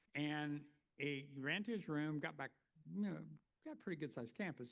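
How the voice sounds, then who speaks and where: Here a man with an Oklahoma accent talks at a fairly quick pace. His pitch is fairly high, with ordinary variation. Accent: Oklahoma twang. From US, northeastern Oklahoma. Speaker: keynote speaker, former college educator. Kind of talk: plenary lecture with storytelling. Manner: conversational, many fillers.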